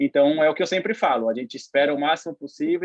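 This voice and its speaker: Fairly quick delivery from a man, his intonation fairly even. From São Paulo, East Zone (Itaquera). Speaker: professional football goalkeeper. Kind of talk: podcast interview. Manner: calm, relaxed, laughing.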